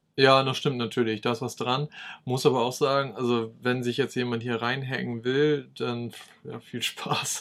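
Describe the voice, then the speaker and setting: A man's medium-pitched voice, monotone and flat, at a fairly slow pace. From East Frisia, northern Germany. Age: 30s. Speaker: YouTuber on smart home tech. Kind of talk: casual chat.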